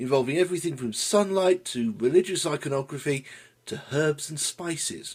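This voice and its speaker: The voice is somewhat breathy. Its intonation is lively. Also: man. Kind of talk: comedic history commentary to camera. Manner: dry, sardonic.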